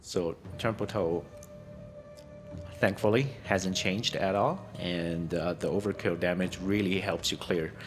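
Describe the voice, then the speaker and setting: A man with a non-native accent speaks very slowly, pitched very deep and low, with very even loudness and fairly even intonation. He takes long, frequent pauses while music plays in the background. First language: not English. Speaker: gaming content creator. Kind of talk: game build guide tutorial. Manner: halting, many fillers and restarts.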